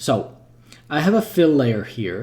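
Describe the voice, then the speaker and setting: A man's dark, mellow, somewhat breathy voice at a fairly slow pace. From Czech Republic. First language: Czech. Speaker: 3D artist and game developer. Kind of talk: livestream tutorial. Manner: casual, thinking aloud.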